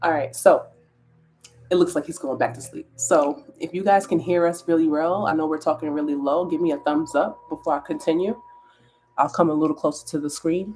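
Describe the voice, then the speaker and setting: Quiet and fairly quick, a woman speaks with ordinary pitch variation. Her pitch is very deep and low. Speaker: wellness content creator. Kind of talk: casual live stream chat. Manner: quiet, talking low.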